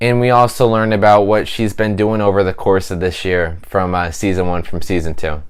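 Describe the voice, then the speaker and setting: A man with an unremarkable speaking voice talks at a moderate pace, fairly low in pitch with ordinary pitch variation. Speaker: YouTube TV reviewer. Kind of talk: casual video review.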